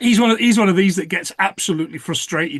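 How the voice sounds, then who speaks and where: The speaker talks at a very fast pace with a Nottingham accent. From England, Nottingham. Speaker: podcast co-host. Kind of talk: casual chat. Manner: halting, repeats words.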